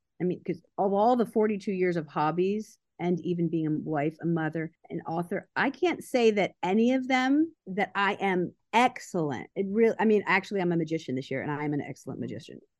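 A woman speaks in an American accent with an unremarkable speaking voice. Her intonation is lively, her pace moderate, and the background quiet. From Baltimore, Maryland. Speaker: entrepreneur and motivational speaker. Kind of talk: casual chat.

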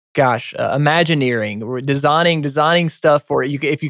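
A man with a Southern US accent, a fairly high pitch, fairly even intonation and a fairly quick pace. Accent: Southern US (Georgia). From US South, rural northeast Georgia. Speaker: healthcare tech executive. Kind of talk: casual interview.

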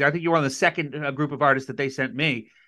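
A man with an American accent projects a raised voice with a bright, sharp tone against a quiet background. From Connecticut, US. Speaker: podcast host. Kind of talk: casual interview.

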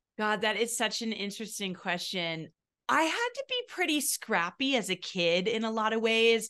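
A woman with an American accent speaks at a moderate pace, her pitch fairly high and her intonation lively. Her tone is bright and sharp, and the background is quiet. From California (Berkeley). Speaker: matchmaker. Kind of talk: casual chat.

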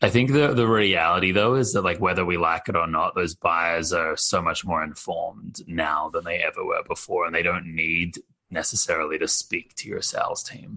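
A man with an Australian accent at a moderate pace, with hardly any pauses. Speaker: marketing executive. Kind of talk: interview. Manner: casual, lots of filler words.

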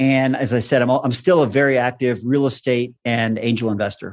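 With an American accent, a man speaks in an unremarkable speaking voice at medium pitch, with fairly even intonation against a quiet background. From Texas. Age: 50s. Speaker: company founder. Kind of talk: casual chat.

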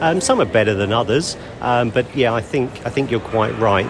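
A man with a British accent, over noticeable background noise. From UK. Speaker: tourist interviewed. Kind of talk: casual interview chat. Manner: reserved, hesitant.

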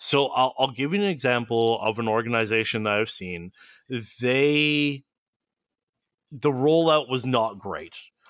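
A man speaks at a fairly slow pace with a medium pitch. He has a plain, everyday voice and ordinary pitch variation. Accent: Canadian. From Canada, Toronto. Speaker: organizational psychologist. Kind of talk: interview.

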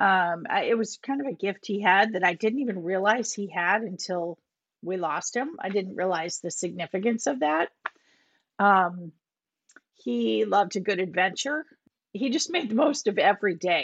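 Over a quiet background, a woman in a normal speaking voice talks at a moderate pace with medium pitch and lively intonation. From Minnesota. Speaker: bereaved parent and prevention advocate. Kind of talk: podcast interview.

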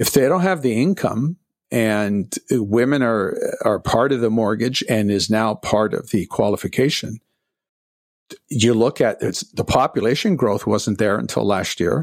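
In a plain, everyday voice with a Canadian accent, a man speaks at a medium pitch and fairly slow pace, with ordinary pitch variation, very even loudness and a dry, close sound with no echo. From Canada, Toronto. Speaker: economic forecaster. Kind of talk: interview.

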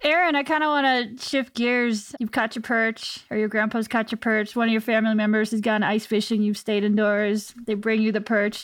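A woman with an American accent and a plain, everyday voice talks at a moderate pace with hardly any pauses. Her pitch is fairly high, her intonation fairly even and her loudness very even, in a very clean recording with a silent background. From Virginia, US. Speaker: podcast host, wildlife agency staff. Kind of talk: casual chat.

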